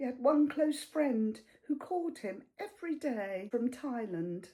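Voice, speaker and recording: In a British accent, a woman with a high pitch and a dark, mellow tone speaks at a very slow pace, her pitch swinging very widely. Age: 70s. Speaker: retired accountant, artist and teacher. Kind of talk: reflective personal talk to camera.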